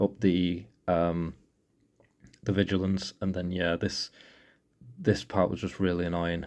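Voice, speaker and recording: A man talks at a fairly slow pace with a dark, mellow tone. The recording is very clean, with a silent background. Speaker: mobile game player. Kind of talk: casual game walkthrough commentary. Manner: hesitant, stuttering at times.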